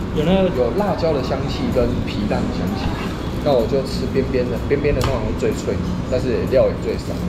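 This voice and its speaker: Music plays in the background as a man talks at a moderate pace. He leaves long, frequent pauses. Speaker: food vlogger. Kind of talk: casual vlog chat. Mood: relaxed, joking. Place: cafe. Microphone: phone near.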